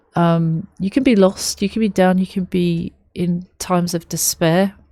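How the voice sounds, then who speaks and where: A woman with a London accent talks at a fairly slow pace and medium pitch, with fairly even intonation and a dark, mellow tone, in a dry, close sound with no echo. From London, England. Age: 30s. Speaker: music reaction youtuber. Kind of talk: reaction video commentary. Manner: halting, many fillers.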